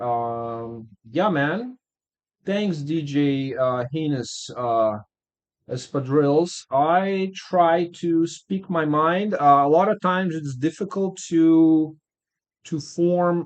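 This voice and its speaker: With a non-native accent and lively intonation, a man speaks very slowly at a fairly high pitch. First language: not English. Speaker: music producer streamer giving track feedback. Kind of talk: casual live stream chat. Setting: live stream. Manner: hesitant, many fillers.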